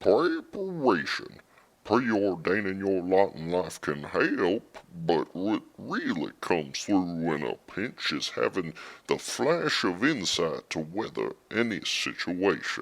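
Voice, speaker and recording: A man puts on a character voice with a very deep, low pitch at a fairly slow pace. The recording is very clean, with a silent background. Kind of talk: interview answer. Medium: audio drama.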